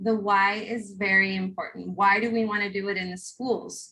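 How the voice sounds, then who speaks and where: A woman with a plain, everyday voice speaks at a fairly slow pace and medium pitch, with ordinary pitch variation. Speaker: workshop presenter on trauma-informed schools. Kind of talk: conference workshop presentation.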